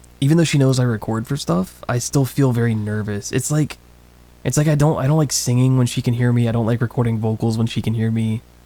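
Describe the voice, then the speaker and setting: A soft-spoken man talks very fast in a dark, mellow tone. His loudness stays very even and his intonation fairly even. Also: medium pitch for a man. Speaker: streamer and voice actor. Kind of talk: casual chat. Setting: home studio room for a livestream. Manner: quiet.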